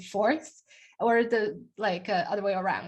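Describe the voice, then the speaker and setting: Speaking at a fairly slow pace with a slight Chinese accent, a woman with a fairly high pitch and ordinary pitch variation is heard against a quiet background. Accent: slight Chinese accent after accent training. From China. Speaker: software engineer and speaker. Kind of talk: Q&A discussion. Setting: video call.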